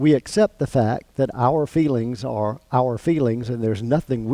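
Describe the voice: The speaker is reading aloud plainly, with pitch that shifts in an ordinary way.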